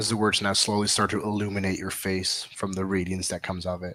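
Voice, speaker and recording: A man does a raspy, put-on character voice at a fairly low pitch, very fast and monotone, with flat intonation. It's a very clean recording with a silent background. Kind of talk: horror narration. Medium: actual play. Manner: descriptive, deliberate, building suspense.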